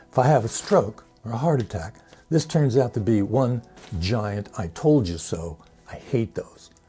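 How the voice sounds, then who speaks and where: Over background music, a man speaks with lively intonation. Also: medium pitch for a man, fairly slow pace. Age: 70s. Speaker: longevity challenge host. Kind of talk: casual talk to camera.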